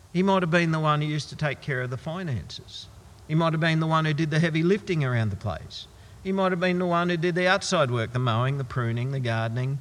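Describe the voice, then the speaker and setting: In an unremarkable speaking voice, a man talks at a fairly quick pace with fairly high pitch and lively intonation. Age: 50s. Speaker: pastor. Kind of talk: sermon.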